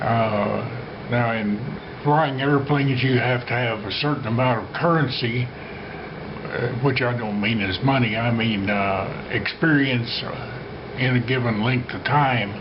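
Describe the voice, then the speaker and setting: There is noticeable background noise and audible room echo. A man speaks with fairly even intonation. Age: 90s. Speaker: retired flight instructor. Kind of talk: personal storytelling. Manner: hesitant with frequent fillers.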